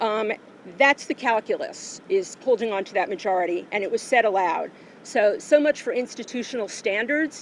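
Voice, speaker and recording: Speaking with an American accent, a woman has a fairly high pitch and lively intonation. Her loudness swings widely. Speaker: activist speaking at a rally. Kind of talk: prepared speech. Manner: fast.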